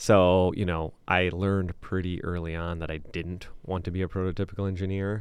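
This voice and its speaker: This man has a very deep, low pitch and a Midwestern American accent, with monotone, flat intonation. He keeps a moderate pace with hardly any pauses over a quiet background. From Michigan, Lansing area (Okemos). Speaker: business owner. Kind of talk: interview. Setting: studio.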